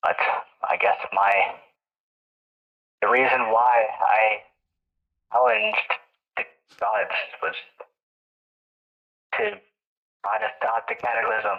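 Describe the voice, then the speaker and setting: A put-on character voice, low in pitch, at a fairly slow pace with long, frequent pauses. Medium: game stream. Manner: formal, measured.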